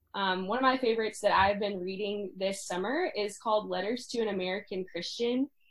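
Using a normal speaking voice, a woman talks at a fairly quick pace with hardly any pauses, medium pitch and ordinary pitch variation. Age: 20s. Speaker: podcast host, college student. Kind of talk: interview.

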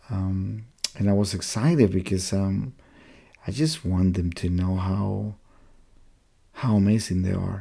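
A soft-spoken man, very deep and low in pitch, fairly slow pace, long, frequent pauses, ordinary pitch variation. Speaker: missionary and podcast host. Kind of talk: faith-based monologue podcast.

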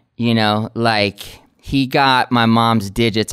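Mid-range male voice, captured very cleanly against total background silence. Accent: American. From California Bay Area, Oakland. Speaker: real estate company founder. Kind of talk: casual interview chat. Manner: animated.

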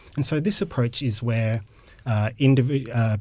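In a very clean recording with a silent background, a man with an Australian accent speaks in a somewhat breathy voice with ordinary pitch variation. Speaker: university professor and occupational therapist. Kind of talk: interview.

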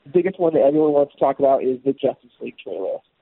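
Ordinary pitch variation carries a man's speech as he goes at a very fast pace. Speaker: geek news segment co-host. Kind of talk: casual chat. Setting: phone call.

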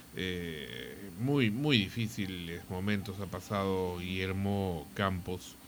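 The speech moves at a very slow pace with ordinary pitch variation. Audible room echo is present. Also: man, very deep, low pitch for a man. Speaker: radio host. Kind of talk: casual chat.

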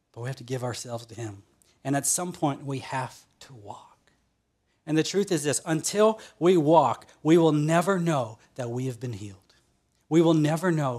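This man has an unremarkable speaking voice at a medium pitch. His intonation is lively, with big swings in loudness. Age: 30s. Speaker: pastor. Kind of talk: sermon. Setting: online church service.

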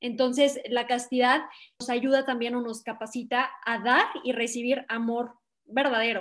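A woman speaks slowly-ish at a high pitch, her intonation monotone and flat at a fairly slow pace. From Mexico, León, Guanajuato. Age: 20s. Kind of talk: podcast interview.

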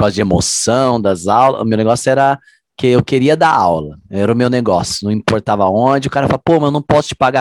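Recorded with a dry, close sound and no echo, a man talks at a fairly quick pace in a normal speaking voice, medium in pitch with ordinary pitch variation. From Londrina, Paraná, Brazil. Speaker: group fitness instructor. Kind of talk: casual chat.

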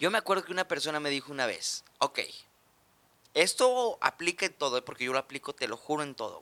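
A man's fairly high, bright, sharp voice at a fairly quick pace, with very wide pitch swings and big swings in loudness, in a dry, close sound with no echo. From Mexico. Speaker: comedian. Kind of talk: casual chat.

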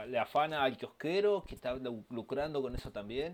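In a Rioplatense accent, a man speaks at a moderate pace with lively intonation. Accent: Argentine Rioplatense Spanish. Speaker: podcast co-host. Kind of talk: casual chat. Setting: home recording.

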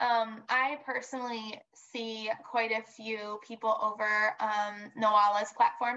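Her voice is fairly high, with an American accent and monotone, flat intonation. This woman hardly pauses. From US Midwest, Southeast Michigan. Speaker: speech-language pathologist. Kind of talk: casual interview. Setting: video call.

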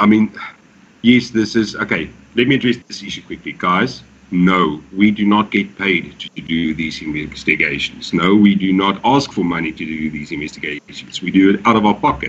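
In an ordinary speaking voice, the speaker talks at a moderate pace with ordinary pitch variation and big swings in loudness. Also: man, fairly low pitch for a man. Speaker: paranormal vlogger. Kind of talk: casual chat.

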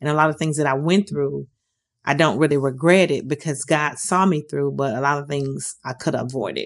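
At a fairly quick pace, a woman with an American accent speaks in a very deep, low pitch with vocal fry and fairly even intonation over a quiet background. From US Midwest (Detroit, Michigan). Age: 50s. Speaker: formerly homeless woman sharing her story. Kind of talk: personal testimony. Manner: hesitant, frequent um fillers.

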